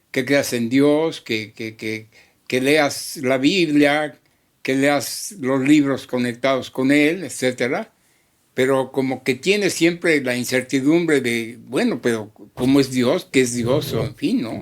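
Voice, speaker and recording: A man talks very slowly on a very clean recording with a silent background. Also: medium pitch for a man, ordinary pitch variation. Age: 80s+. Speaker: psychologist. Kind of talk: interview answer.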